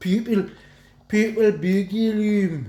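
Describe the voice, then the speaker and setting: Someone mumbles in a put-on character voice with a fairly high pitch. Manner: sloppy, mumbled.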